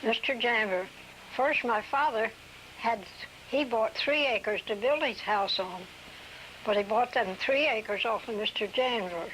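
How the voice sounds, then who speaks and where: A woman with an American accent talks at a fairly slow pace, leaving long, frequent pauses. Her loudness stays very even and her pitch varies in an ordinary way, with noticeable background noise. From US Mid-Atlantic, New Castle, Delaware. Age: 80s+. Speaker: oral history interviewee. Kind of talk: oral history interview. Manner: halting.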